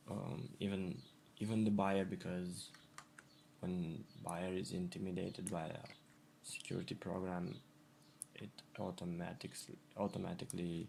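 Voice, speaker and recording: With a non-native accent, a man speaks at a very deep, low pitch and a moderate pace, his intonation fairly even and his pauses long and frequent. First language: not English. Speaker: graphic designer. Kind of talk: tutorial. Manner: halting, with repetitions.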